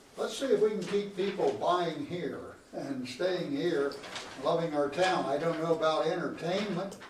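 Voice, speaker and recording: In an American accent, a man talks fairly slowly in a high voice. Background noise is noticeable, and there is audible room echo. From US Midwest, Union City area. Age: 80s+. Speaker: local resident addressing council. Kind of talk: public comment at council meeting. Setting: city council meeting.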